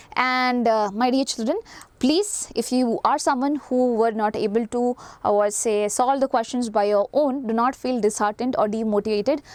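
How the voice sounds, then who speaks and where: Fairly high in pitch with ordinary variation, a woman speaks in an Indian accent at very even loudness. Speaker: teacher. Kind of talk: lecture. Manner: fast.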